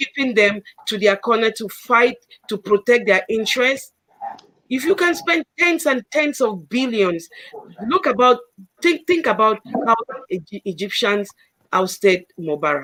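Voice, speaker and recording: The delivery is fairly slow. Long pauses come often. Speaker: doctor and co-host. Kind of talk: panel discussion. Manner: calm.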